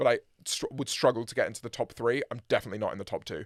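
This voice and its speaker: This man speaks with a British accent at a medium pitch and fairly even intonation, on a very clean recording with a silent background and a dry, close sound with no echo. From UK. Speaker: musician, band frontman. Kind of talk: casual interview chat. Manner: hesitant, many fillers and repeats.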